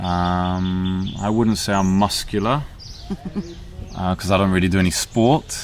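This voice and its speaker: Noticeable background noise runs under the voice. Pitch variation is ordinary. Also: man. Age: 40s. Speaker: speaker describing himself for a listening exercise. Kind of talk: casual self-description. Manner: hesitant, many fillers.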